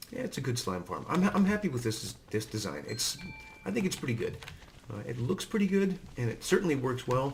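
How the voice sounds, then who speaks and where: A man's fairly fast speech comes through noticeable background noise. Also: medium pitch for a man. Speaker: Minecraft let's play youtuber. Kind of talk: gameplay commentary. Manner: flat, without lilt; hesitant, many fillers.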